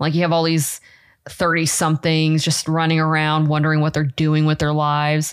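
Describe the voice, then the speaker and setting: Speaking in an American accent, a woman's voice is very deep and low, with monotone, flat intonation and very even loudness. She keeps a moderate pace on a very clean recording with a silent background. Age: 30s. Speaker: podcast co-host. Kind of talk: casual chat. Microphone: new mic on an arm at a desk.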